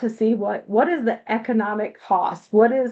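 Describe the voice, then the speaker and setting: This woman has an ordinary speaking voice, fairly high in pitch with ordinary pitch variation. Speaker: nonprofit reentry program presenter. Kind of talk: presentation on a video call meeting.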